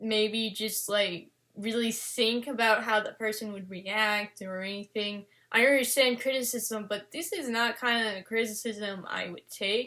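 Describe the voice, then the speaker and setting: In a fairly high pitch, a woman talks with a bright, sharp tone and big swings in loudness. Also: fairly even intonation, fairly slow pace. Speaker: fan artist vlogger. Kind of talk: personal vlog monologue. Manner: stuttering, halting.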